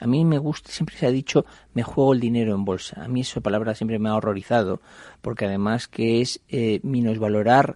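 The speech moves at a fairly quick pace, with a dark, mellow tone and fairly even intonation. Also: man. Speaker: investment fund CEO. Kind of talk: radio interview. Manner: conversational, with frequent fillers.

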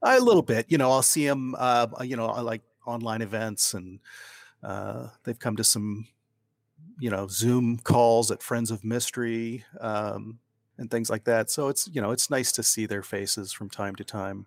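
In a very clean recording with a silent background, a man with an American accent speaks at a moderate pace at medium pitch in a plain, everyday voice. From Ohio. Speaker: crime author. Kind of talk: interview.

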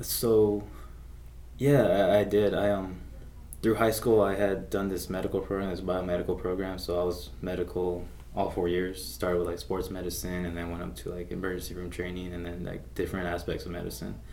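A man with an American accent, very deep and low in pitch, with vocal fry and a fairly quick pace. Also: lively intonation. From Las Vegas, US. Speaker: army combat medic, veteran. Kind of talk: interview. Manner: hesitant, many fillers.

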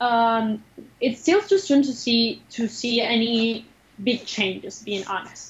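Speaking at a very slow pace, the woman has a fairly high pitch. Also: ordinary pitch variation. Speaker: nonprofit project manager. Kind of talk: interview. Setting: video call. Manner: animated.

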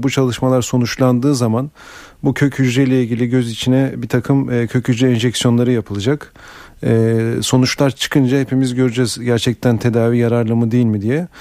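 Here a man speaks at a medium pitch with a dark, mellow tone. His intonation is monotone and flat. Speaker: eye doctor. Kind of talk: radio call-in advice. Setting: studio.

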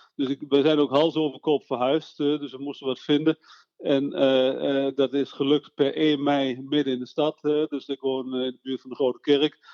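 With a fairly high pitch and monotone, flat intonation, a man speaks with big swings in loudness. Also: moderate pace. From Netherlands, Veluwe (Eerbeek). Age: 60s. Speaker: local politician. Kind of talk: interview. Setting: phone call.

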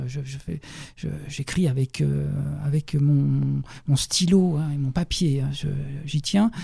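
Pitched fairly high for a man, this somewhat breathy voice has a dark, mellow tone and moves at a very slow pace with long, frequent pauses. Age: 50s. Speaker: journalist and novelist. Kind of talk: radio interview. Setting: radio studio. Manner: halting, many repetitions and hesitations.

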